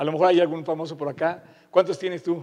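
In an animated tone, a man talks at a high pitch and a moderate pace. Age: 50s. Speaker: pastor. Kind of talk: sermon.

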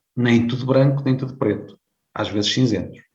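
Somewhat breathy, a man speaks in a medium pitch. His pace is fairly slow, with ordinary pitch variation. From Portugal, Viseu district (Beira Alta). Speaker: career management consultant, company founder. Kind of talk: interview.

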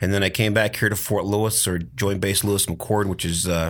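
A plain, everyday voice moves at a fairly quick pace with an American accent. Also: man. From US Pacific Northwest, Tacoma. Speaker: retired army colonel, veteran. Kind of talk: casual interview. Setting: studio sound booth.

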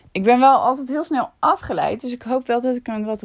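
A woman's speech moves at a moderate pace. Nothing can be heard behind her in this very clean recording. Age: 30s. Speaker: vlogger and podcaster. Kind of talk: casual monologue.

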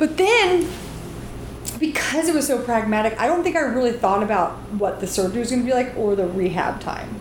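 A woman talks at a fairly quick pace in a high voice with very wide pitch swings. Noticeable background noise runs underneath. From US South. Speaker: comedian and writer. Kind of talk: casual interview chat.

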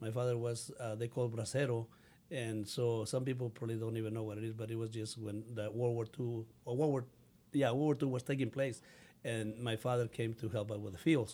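Speaking with a Mexican accent, a man has a medium pitch and a dark, mellow tone. His pace is fairly quick and his intonation monotone and flat. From Mexico. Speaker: city council candidate. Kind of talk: interview answers. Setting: studio. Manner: halting, broken English when emotional.

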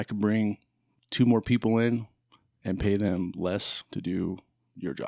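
A man with an American accent and a dark, mellow tone speaks with fairly even intonation and long, frequent pauses, recorded with a dry, close sound with no echo and a silent background on a very clean recording. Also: fairly slow pace. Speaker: guest, host's brother. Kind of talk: casual chat.

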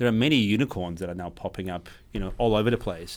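A man speaks at a very fast pace. His fairly low pitch shows ordinary variation. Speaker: podcast host, cloud solution architect. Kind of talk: casual tech chat. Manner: animated.

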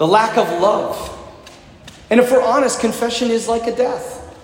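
With an animated tone and extremely high pitch, a man speaks at a moderate pace, with audible room echo and noticeable background noise. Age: 40s. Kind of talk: sermon.

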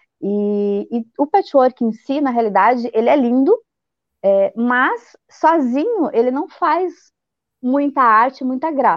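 A woman with a high pitch speaks very slowly, her intonation lively. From Blumenau, Santa Catarina, Brazil. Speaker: quilting teacher and youtuber. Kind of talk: casual interview.

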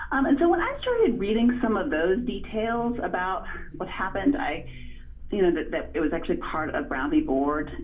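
With an American accent, the voice moves at a moderate pace with very wide pitch swings, over audible room echo and noticeable background noise. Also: woman, fairly high pitch for a woman. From Virginia, US South (Farmville). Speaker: author and journalist. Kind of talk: interview. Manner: hesitant with many fillers.

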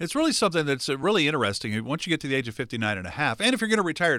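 Very wide pitch swings mark this man's very fast speech. The tone is bright and sharp, on a very clean recording with a silent background. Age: 60s. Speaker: radio show host. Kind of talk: sponsored radio talk show.

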